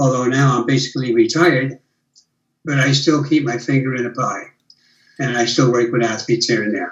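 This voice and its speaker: Fairly even intonation and a somewhat breathy voice at a fairly quick pace, broken by long, frequent pauses. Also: man, medium pitch for a man. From USA. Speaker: retired biomechanist. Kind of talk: casual chat.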